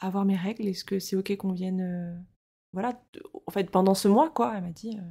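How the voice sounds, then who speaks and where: A woman speaks at a medium pitch and a fairly quick pace, her voice somewhat breathy with a dark, mellow tone. The pitch varies in an ordinary way, and the recording is very clean with a silent background. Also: big swings in loudness. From France, Rennes (Brittany). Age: 30s. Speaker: podcast guest, mother. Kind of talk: casual interview, personal testimony. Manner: hesitant, many fillers.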